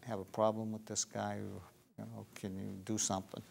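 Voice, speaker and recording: At a fairly quick pace, a man with medium pitch speaks in a plain, everyday voice, recorded very cleanly with a silent background. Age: 60s. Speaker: political candidate. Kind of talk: interview. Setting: studio.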